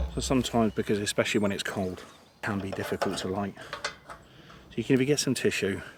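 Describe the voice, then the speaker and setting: Quiet and fairly quick, a man talks in a fairly low pitch with ordinary pitch variation. Background noise is noticeable. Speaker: hiking vlogger. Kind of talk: outdoor vlog narration. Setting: outdoors. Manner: quiet, hushed.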